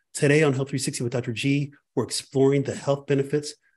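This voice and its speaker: Speaking at a very fast pace, a man sounds somewhat breathy, with a dark, mellow tone. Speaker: podcast host. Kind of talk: podcast intro. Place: home room.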